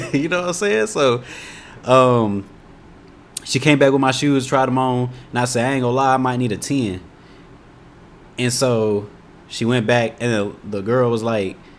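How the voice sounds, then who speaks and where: A man with a slight Indiana accent speaks in a relaxed tone at a moderate pace and medium pitch, with ordinary pitch variation and long, frequent pauses. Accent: Indiana, slight country twang. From Indianapolis, Indiana, US Midwest. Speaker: YouTube reaction creator. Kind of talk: casual reaction commentary. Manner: relaxed, conversational.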